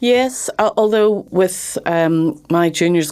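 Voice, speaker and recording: A woman with a Northern Irish accent talks with ordinary pitch variation. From Northern Ireland, Belfast. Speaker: criminal barrister. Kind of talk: interview. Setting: studio. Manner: hesitant, many fillers.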